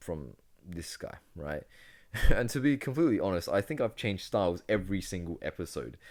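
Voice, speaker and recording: A man talks at a moderate pace with very wide pitch swings. The recording is very clean and the background silent. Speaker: podcast host. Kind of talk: solo podcast monologue. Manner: animated; halting.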